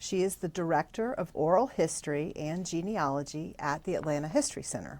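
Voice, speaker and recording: In an unremarkable speaking voice, a woman talks at a fairly low pitch and a fairly quick pace with ordinary pitch variation and hardly any pauses. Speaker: oral history interviewer, volunteer. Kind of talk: formal interview introduction.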